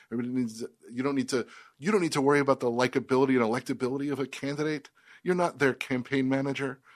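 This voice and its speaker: A man with an American accent, medium pitch, fairly even intonation and a very fast pace. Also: quiet background. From Washington DC area. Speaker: comedy writer. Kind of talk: casual chat.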